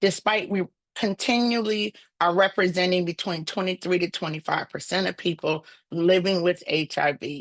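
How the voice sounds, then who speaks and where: A woman with an American accent at a moderate pace, dry and close with no echo, against a quiet background. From US South. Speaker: nonprofit director and HIV advocate. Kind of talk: webinar presentation.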